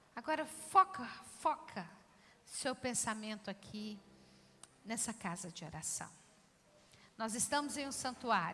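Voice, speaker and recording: Fairly high and bright, sharp in tone, a woman's voice moves at a fairly slow pace with very wide pitch swings and long, frequent pauses. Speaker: pastor, church preacher. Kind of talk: sermon to a congregation. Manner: calm, soft-spoken, guiding a prayer.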